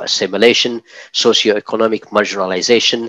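The man's voice sounds dry with no echo against a quiet background. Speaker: program host. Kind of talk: program introduction. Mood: earnest, advocacy tone. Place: studio. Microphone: studio mic.

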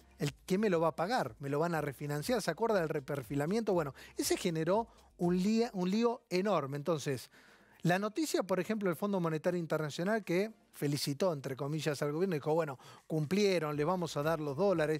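In a Rioplatense accent, a man speaks at a high pitch with ordinary pitch variation. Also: fairly quick pace, dry sound with no echo. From Argentina. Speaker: TV finance show host. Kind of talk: TV interview. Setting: TV studio. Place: studio. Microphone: lapel.

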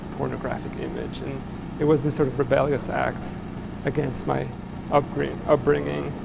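With noticeable background noise behind him, a man talks at a moderate pace. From Mexico City. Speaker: artist. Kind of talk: public conversation. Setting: stage with audience. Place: hall.

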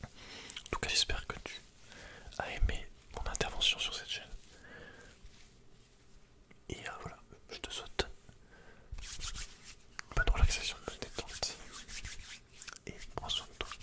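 A soft-spoken, whispering man at a fairly slow pace, with long, frequent pauses, big swings in loudness and noticeable background noise. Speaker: guest. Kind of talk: soft ASMR chat. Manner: soft close-mic ASMR whisper. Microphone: studio mic.

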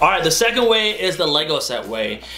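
A man speaks over noticeable background noise. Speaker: vlogger giving career advice. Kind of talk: casual explainer to camera. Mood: light, playful. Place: home room.

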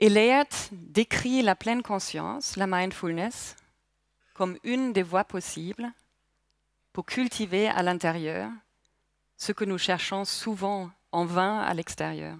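A woman's very slow speech with long, frequent pauses, ordinary pitch variation, a dry sound with no echo and a quiet background. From Germany, Palatinate. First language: German (speaking French). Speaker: mindfulness instructor. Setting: stage with audience. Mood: calm, reflective, personal. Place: hall. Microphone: headset.

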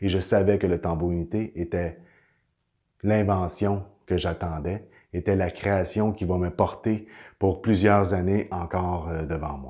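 Spoken with a Quebec accent at a very slow pace, this clip has long, frequent pauses over a quiet background. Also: man, very deep, low pitch for a man. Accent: Québécois French. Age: 40s. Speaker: inventor and energy healing practitioner. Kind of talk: inspirational testimony to camera. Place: home room. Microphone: camera far.

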